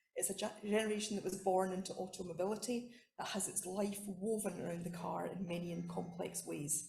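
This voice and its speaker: A woman speaks at a medium pitch with a Scottish accent, her tone dark and mellow with some vocal fry. She talks at a fairly quick pace with fairly even intonation, and room echo is audible. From Scotland. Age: old. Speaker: academic researcher. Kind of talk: conference talk.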